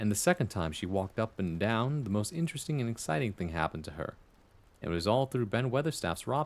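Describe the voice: Someone is doing plain reading aloud here.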